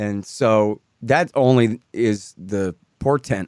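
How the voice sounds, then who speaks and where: A man is heard in a dry, close sound with no echo. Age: 40s. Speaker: radio host. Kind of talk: interview.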